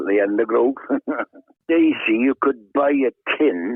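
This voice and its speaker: With a South Wales Valleys accent, a man speaks at a fairly slow pace with ordinary pitch variation. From Wales, South Wales Valleys (Treforest). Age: 70s. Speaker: retired tackle shop owner and angler. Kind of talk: casual chat.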